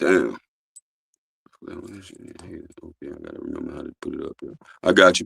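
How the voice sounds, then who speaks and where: An extremely high male voice with a bright, sharp tone, monotone and flat intonation, big swings in loudness, long, frequent pauses, and a dry, close sound with no echo. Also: moderate pace. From US South (born New York). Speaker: livestreamer and clothing brand owner. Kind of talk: live stream interview. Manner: loud at times.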